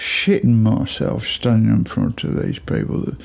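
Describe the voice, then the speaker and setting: A man's fairly slow speech in a Birmingham accent, with noticeable background noise. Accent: Birmingham (Brummie) English. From Birmingham, England. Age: 60s. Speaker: musician. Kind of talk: casual chat. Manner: informal, rambling with fillers.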